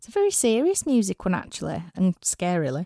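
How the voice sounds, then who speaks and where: A woman with a Yorkshire accent at medium pitch and a moderate pace, dry and close with no echo, on a very clean recording with a silent background. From Yorkshire, northern England. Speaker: rock musician and podcast host. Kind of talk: scripted podcast monologue.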